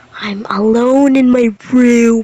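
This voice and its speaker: The voice is quiet and monotone, with flat intonation and noticeable background noise behind it. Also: woman. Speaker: reaction youtuber. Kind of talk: casual reaction commentary. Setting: alone in dark bedroom.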